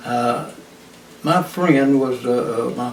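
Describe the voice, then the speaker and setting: Heard through noticeable background noise and audible room echo, the speaker has an East Texas accent and ordinary pitch variation. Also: man. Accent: East Texas Southern US. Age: 80s+. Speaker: retired highway patrolman. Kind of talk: oral history interview. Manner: halting, many fillers.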